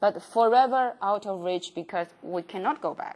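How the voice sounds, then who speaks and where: A woman talks with a non-native accent. Her pitch is fairly high, with ordinary variation. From China. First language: Chinese. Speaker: professor. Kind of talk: lecture. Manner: halting, many fillers.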